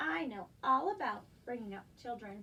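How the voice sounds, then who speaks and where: A woman uses a put-on character voice with a fairly high pitch. She goes at a moderate pace over clear background noise. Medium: read story.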